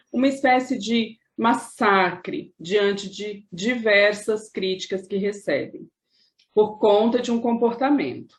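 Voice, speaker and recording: A woman's fairly high, somewhat breathy voice, very slow, with ordinary pitch variation. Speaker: video host / interviewer. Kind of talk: interview conversation.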